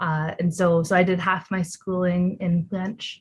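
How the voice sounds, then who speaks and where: A woman talks at a moderate pace with a Canadian accent. Her voice is somewhat breathy. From Ontario, Canada. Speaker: volunteer translator, PhD student. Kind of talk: interview. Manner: halting, many fillers.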